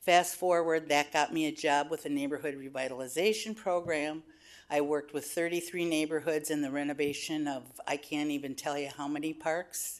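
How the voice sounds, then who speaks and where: Against a quiet background, a woman speaks at a fairly quick pace. Her pitch is very deep and low, her intonation fairly even. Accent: American. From US Midwest, Minneapolis. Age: 70s. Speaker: public commenter, retired community worker. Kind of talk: public testimony. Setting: public board meeting.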